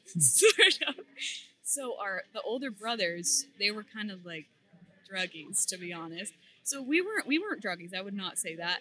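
A woman with an American accent and an ordinary speaking voice, medium in pitch, lively intonation, moderate pace, big swings in loudness. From Massachusetts, Beverly. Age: 20s. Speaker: competitive weightlifter and powerlifter. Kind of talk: casual interview.

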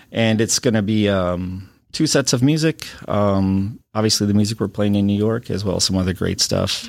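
An Upper Midwest accent comes through at a moderate pace. Loudness stays very even, and the pitch varies in an ordinary way. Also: man, fairly low pitch for a man. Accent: Upper Midwest American. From Wisconsin (Watertown). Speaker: high school band director. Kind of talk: casual interview.

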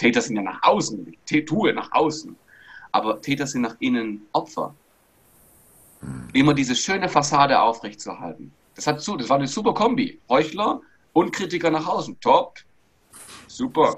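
A man talks at a moderate pace and fairly high pitch, with vocal fry and very wide pitch swings. Long pauses come often. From Stuttgart region, Germany, Greek parents. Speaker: body language and mindset coach. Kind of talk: interview. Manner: animated.

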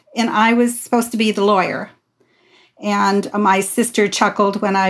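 A woman at medium pitch speaks in a monotone, flat intonation at a moderate pace on a very clean recording with a silent background. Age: 70s. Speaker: counselor. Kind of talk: casual interview.

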